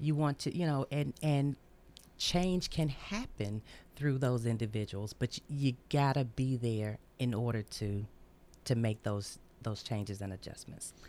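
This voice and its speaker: Using a very deep, low pitch and a dark, mellow tone, a woman with a Tennessee accent speaks at a fairly slow pace with lively intonation. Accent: Southern US (Tennessee). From US South, Memphis, Tennessee. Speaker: community activist. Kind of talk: radio interview.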